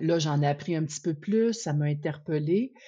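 A woman speaks at a fairly slow pace in a very deep, low pitch with a dark, mellow tone and ordinary pitch variation, over a quiet background. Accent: Quebec. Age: 50s. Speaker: researcher and advocate for women in sport. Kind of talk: interview.

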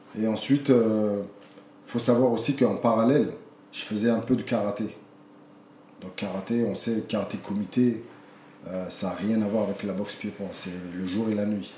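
Audible room echo surrounds speech that has long, frequent pauses and fairly even intonation. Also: man, moderate pace. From France. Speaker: kickboxing champion and coach. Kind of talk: interview conversation. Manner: halting, repeats words.

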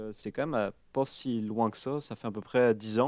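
A man talks fairly slowly on a very clean recording where the background is silent. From France, the Alps. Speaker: fly fishing guide and instructor. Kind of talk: casual interview.

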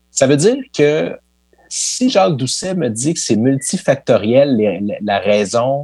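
His pitch is fairly high for a man. The man's voice swings very widely in pitch. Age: 30s. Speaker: sports history podcaster. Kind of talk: interview.

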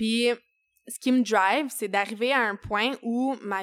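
A woman with a Quebec accent, fairly high in pitch, ordinary pitch variation, fairly slow delivery, very clean recording over a silent background. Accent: Québécois French. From Quebec, Eastern Townships (Saint-Césaire). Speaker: chef and restaurant owner. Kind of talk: casual interview.

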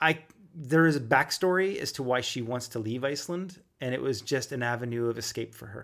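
A man with a Canadian accent talks at a fairly quick pace in an ordinary speaking voice, his pitch medium and varying in an ordinary way. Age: 40s. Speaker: podcast date guest. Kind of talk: casual chat.

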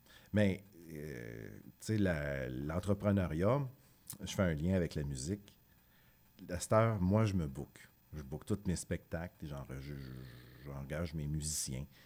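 A man with a very deep, low pitch and a dark, mellow tone speaks at a very slow pace with lively intonation and long, frequent pauses. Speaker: musician. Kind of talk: interview.

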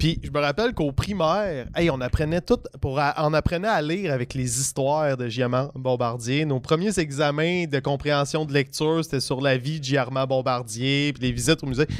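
At a moderate pace with hardly any pauses, a man in a Quebec accent speaks at a fairly high pitch with ordinary pitch variation. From Quebec, Eastern Townships (Valcourt). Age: 30s. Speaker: comedian. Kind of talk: casual chat.

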